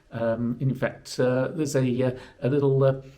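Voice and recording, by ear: At a fairly slow pace, a man speaks at medium pitch, croaky, with a dark, mellow tone.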